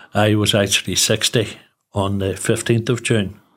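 A man with a Northern Irish accent, fairly low in pitch, fairly slow, with monotone, flat intonation. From Northern Ireland, Newry. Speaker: charity founder, retired teacher. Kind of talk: interview.

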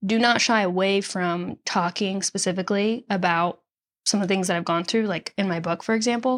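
A woman with an unremarkable speaking voice talks at a medium pitch and moderate pace. Her intonation is fairly even, and the recording is very clean with a silent background. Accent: American. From Nashville area, Tennessee (born Chicago). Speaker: singer-songwriter and author. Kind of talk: interview conversation.

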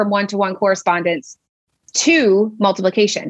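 A woman with a plain, everyday voice, fairly high in pitch, at a moderate pace. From US, Pennsylvania. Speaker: special education teacher and IEP coach. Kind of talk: educational interview.

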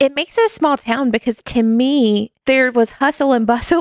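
This woman talks with a Southern US accent at a moderate pace. Her fairly high pitch shows ordinary variation. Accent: Southern US, noticeable. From US South, North Carolina. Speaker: small groups associate director, church staff. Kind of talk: casual interview chat.

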